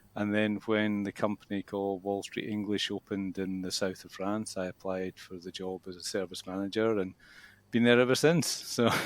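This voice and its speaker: With a Scottish accent, a fairly low-voiced man speaks at a moderate pace with fairly even intonation and big swings in loudness. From Scotland. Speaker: English school manager and teacher. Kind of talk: interview. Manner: hesitant, many fillers.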